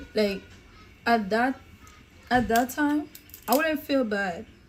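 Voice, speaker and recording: Ordinary pitch variation runs through delivery that unfolds at a fairly slow pace. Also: woman. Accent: non-native. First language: not English. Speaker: YouTuber's girlfriend, mukbang guest. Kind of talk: casual chat.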